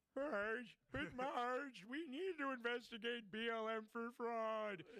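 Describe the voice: This is a put-on character voice with a fairly high pitch. It moves at a fairly slow pace.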